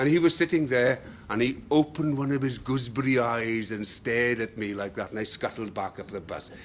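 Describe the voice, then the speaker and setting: A man with a South Welsh accent, medium pitch, ordinary pitch variation and a fairly quick pace. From Wales, Bridgend. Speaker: public speaker. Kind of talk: talk to an audience. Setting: room with live audience, no microphone. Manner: loud.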